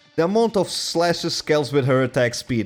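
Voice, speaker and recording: Lively intonation against noticeable background noise. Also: man. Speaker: gaming video creator. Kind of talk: reaction commentary.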